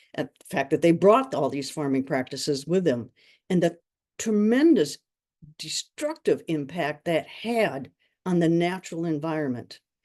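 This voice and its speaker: In an American accent, a woman with a fairly low pitch and a dark, mellow tone speaks at a moderate pace with lively intonation against a quiet background. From US Midwest, rural western Wisconsin. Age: 70s. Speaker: presenter. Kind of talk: webinar presentation.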